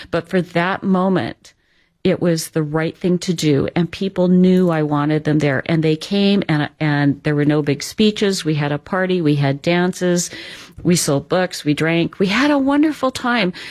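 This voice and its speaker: A woman with an ordinary speaking voice talks at a moderate pace and a fairly low pitch. Her pitch varies in an ordinary way, and her loudness stays very even. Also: very clean recording, silent background. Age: 60s. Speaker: author. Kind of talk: radio interview.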